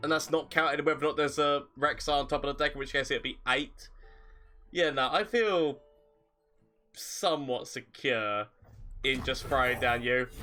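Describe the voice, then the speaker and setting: Music plays behind a man with a fairly high voice who speaks at a moderate pace with ordinary pitch variation and long, frequent pauses. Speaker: gaming streamer. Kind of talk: live gameplay commentary.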